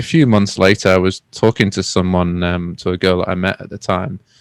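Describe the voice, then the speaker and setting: The sound is dry and close with no echo. A man talks at a moderate pace. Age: 30s. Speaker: podcast host. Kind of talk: casual chat. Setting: video call.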